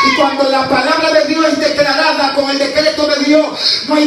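An animated man with an extremely high pitch at a moderate pace, amid audible room echo and noticeable background noise. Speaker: evangelist preacher. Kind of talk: fiery Pentecostal sermon. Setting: church with congregation. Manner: animated, exhortative, shouting praise. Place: church. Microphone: camera far.

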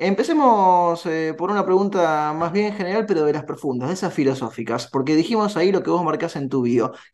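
An ordinary speaking voice from a man, fairly high in pitch, with lively intonation at a moderate pace, against a quiet background. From Argentina. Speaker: radio host. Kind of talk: radio interview. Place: home room. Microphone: earbuds.

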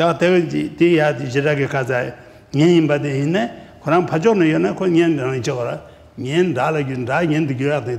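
The voice carries vocal fry. Its pitch varies in an ordinary way. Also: man. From Ladakh, India; India. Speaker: Buddhist teacher, monastery abbot; Buddhist teacher. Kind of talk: dharma teaching in Tibetan. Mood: calm, warm. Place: hall.

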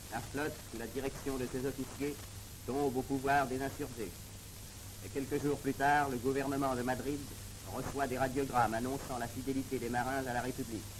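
Over noticeable background noise, a man speaks at medium pitch and a moderate pace in a solemn monotone with flat intonation, leaving long, frequent pauses. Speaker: documentary narrator. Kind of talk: 1930s newsreel narration. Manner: formal, solemn, declamatory; brisk, even and authoritative. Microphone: old recording.

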